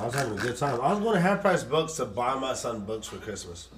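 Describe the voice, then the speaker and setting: Noticeable background noise behind a man's voice, its pitch swinging very widely. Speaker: podcast co-host. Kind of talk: casual chat.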